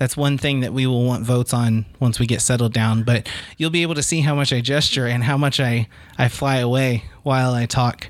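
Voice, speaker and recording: A man with an ordinary speaking voice, medium in pitch, moves at a fairly quick pace with fairly even intonation. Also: very even loudness. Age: 30s. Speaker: podcast co-host. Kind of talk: casual chat.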